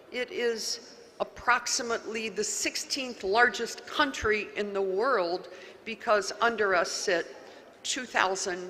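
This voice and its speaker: A woman talks at a fairly slow pace in a fairly high pitch. Noticeable background noise can be heard. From US, West Virginia (Wheeling). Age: 70s. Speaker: county official. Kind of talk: conference talk. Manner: animated.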